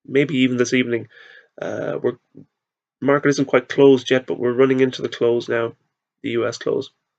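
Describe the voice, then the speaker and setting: A medium-pitched man with an Irish accent, fairly quick in pace yet with long, frequent pauses, monotone and flat in intonation, in a dry, close sound with no echo. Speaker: market analyst. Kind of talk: tutorial. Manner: halting.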